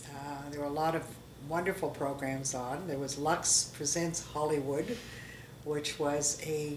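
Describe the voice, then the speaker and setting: With a Canadian accent, a woman speaks at a fairly slow pace in a very deep, low voice with fairly even intonation, audible room echo and noticeable background noise. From Canada, Toronto. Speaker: interviewee sharing life history. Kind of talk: oral history interview. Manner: halting.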